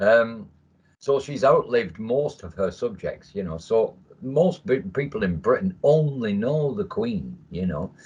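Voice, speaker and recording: Speaking fairly slowly with an English accent, a man has a medium pitch and a somewhat breathy voice. His pitch swings very widely. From England. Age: 60s. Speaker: military veteran. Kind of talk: casual chat. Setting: video call.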